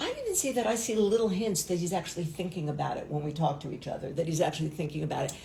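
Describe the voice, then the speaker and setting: Amid noticeable background noise and audible room echo, a woman speaks at a very fast pace with hardly any pauses. Her pitch is fairly low and her intonation lively. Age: 60s. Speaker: talk show co-host. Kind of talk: casual chat.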